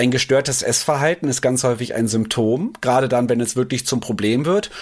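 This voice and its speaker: A man talks at a fairly quick pace and medium pitch, with ordinary pitch variation. He has a plain, everyday voice. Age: 30s. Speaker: nutrition expert. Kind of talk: casual chat.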